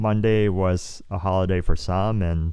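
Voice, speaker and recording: A man speaks with a very deep, low pitch and a dark, mellow tone. The recording is very clean with a silent background. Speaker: photographer and vlogger. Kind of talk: casual vlog monologue. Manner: many pauses; unscripted, meandering.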